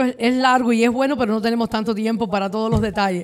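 In a very clean recording with a silent background, a woman with an ordinary speaking voice talks at a fairly high pitch with fairly even intonation. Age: 40s. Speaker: mortgage broker. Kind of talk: casual chat.

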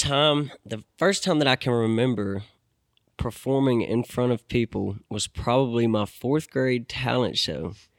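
A man with an American accent speaks at a fairly slow pace and medium pitch, with lively intonation and a plain, everyday voice. The recording is very clean, dry and close, with no echo and a silent background. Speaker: musician. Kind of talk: casual chat.

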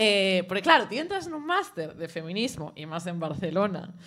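This woman talks at a medium pitch with lively intonation. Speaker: show contributor. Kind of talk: culture segment, casual chat. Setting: café with live audience. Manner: fast.

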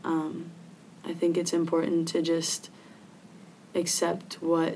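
A woman with an American accent speaks fairly slowly in a fairly low, dark, mellow voice. Her intonation is monotone and flat, and the room echo is audible. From Philippines (Manila) and Virginia, US. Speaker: student athlete. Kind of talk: interview.

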